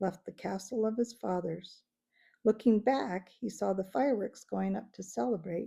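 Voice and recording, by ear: The background is quiet while a person reads aloud in a natural voice.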